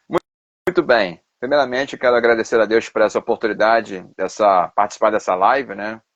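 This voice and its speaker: A man with a Carioca accent and a medium pitch, ordinary pitch variation and a moderate pace, dry and close with no echo against a quiet background. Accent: Carioca accent, noticeable. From Rio de Janeiro, Brazil. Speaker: pastor and theology professor. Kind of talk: live stream interview. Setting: Instagram live video.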